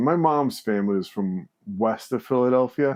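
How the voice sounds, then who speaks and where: A man speaks at a medium pitch. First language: Spanish. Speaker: former missionary. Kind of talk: casual interview.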